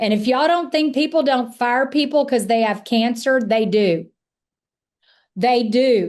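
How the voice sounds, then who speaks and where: A high-pitched woman's voice with an American accent, ordinary pitch variation, very even loudness and a fairly slow pace, set against a quiet background. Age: 60s. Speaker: sales trainer / insurance agency coach. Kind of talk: live virtual training. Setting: live virtual event. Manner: animated.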